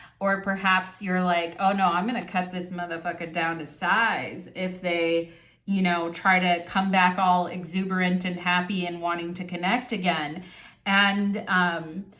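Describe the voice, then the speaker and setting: The voice moves at a fairly slow pace with monotone, flat intonation. Audible room echo surrounds it. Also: woman, medium pitch for a woman. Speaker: tarot reader. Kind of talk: tarot reading monologue. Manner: casual, filler-heavy.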